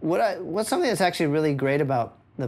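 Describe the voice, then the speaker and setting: A man talks, his pitch moving up and down a normal amount. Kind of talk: interview answer. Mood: relaxed, thoughtful. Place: studio. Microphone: lapel.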